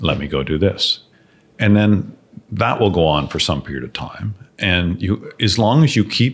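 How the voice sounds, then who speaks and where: Lively intonation and vocal fry mark this man's speech in a Canadian accent. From Canada, Ottawa area. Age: 60s. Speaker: business owner. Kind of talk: interview.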